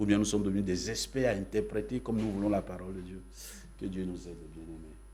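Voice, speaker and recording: A man talks at a very fast pace, with big swings in loudness. Audible room echo surrounds his voice. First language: Yacouba (Dan) (speaking French). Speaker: pastor. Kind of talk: sermon.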